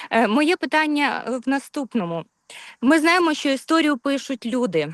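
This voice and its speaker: A woman with a Ukrainian accent speaks at a moderate pace and a high pitch, in a dry, close sound with no echo. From Ukraine. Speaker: webinar attendee. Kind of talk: audience question. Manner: halting.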